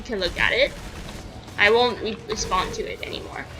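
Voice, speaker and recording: Against noticeable background noise, a woman speaks in a fairly high pitch. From Canada. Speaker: video game streamer. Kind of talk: casual live-stream chat. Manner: halting, repeats words.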